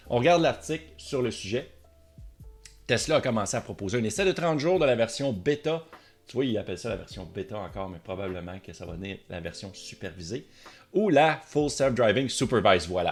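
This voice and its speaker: A man with a Quebec accent talks at a fairly quick pace in an animated tone. His pitch swings very widely and his loudness rises and falls sharply. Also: medium pitch for a man. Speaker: tech and car YouTuber. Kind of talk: casual video commentary.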